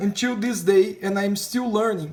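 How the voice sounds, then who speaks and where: A high-pitched man at a moderate pace amid noticeable background noise. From Brazil. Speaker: painting teacher. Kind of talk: tutorial. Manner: halting, many repetitions and fillers.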